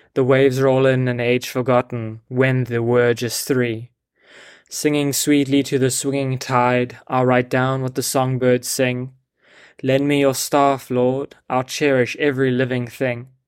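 Over a silent background in a very clean recording, a man at medium pitch speaks at a fairly slow pace with a warm, gentle tone and monotone, flat intonation. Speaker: devotional poet and host. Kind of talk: poem performed, reverent, meditative verse reading. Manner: slow, hushed, gentle and contemplative, unhurried pacing; warm, sincere, devotional.

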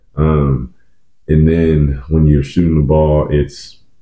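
Noticeable background noise surrounds a man speaking at a very deep, low pitch. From Oklahoma (Edmond). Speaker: basketball trainer, former college player. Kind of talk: casual chat.

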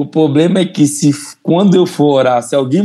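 Ordinary pitch variation in a fairly high male voice of dark, mellow tone. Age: 20s. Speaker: church member. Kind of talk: testimony.

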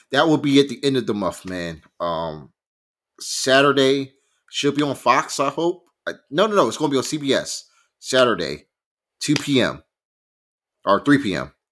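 On a very clean recording with a silent background, a man with a fairly high pitch speaks in an animated tone at a moderate pace, with lively intonation, vocal fry, and long, frequent pauses. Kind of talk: casual sports chat. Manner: animated, excitable.

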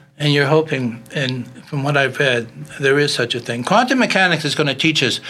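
Over noticeable background noise, a man talks at a moderate pace in a fairly high voice with ordinary pitch variation. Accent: American. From Philadelphia. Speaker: inventor. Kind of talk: casual chat.

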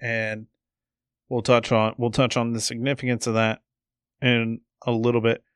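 Speaking in a monotone with flat intonation, a man with an American accent comes through in a dry, close recording with no echo and a quiet background. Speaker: sports podcast host. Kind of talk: casual sports chat.

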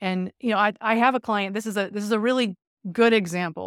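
A woman with an American accent talks in a plain, everyday voice at a fairly quick pace with fairly even intonation, on a very clean recording with a silent background and a dry, close sound with no echo. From California. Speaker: business and sports psychologist. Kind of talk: casual interview.

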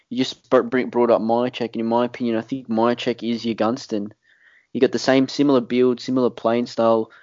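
A man with an Australian accent, medium-pitched, at a fairly quick pace, in a monotone, flat delivery. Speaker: podcast host. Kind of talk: casual chat.

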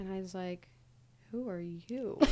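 In an American accent, a woman uses a normal speaking voice at a medium pitch and a fairly slow pace. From US Midwest, Ohio / New York. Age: 20s. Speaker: podcast producer, friend of hosts. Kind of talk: personal interview, casual.

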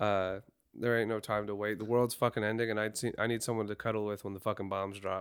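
This speaker goes at a very fast pace in a monotone, flat intonation, on a very clean recording with a silent background. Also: man, fairly low pitch for a man. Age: 20s. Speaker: podcast co-host and telephone line worker. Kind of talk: casual chat.

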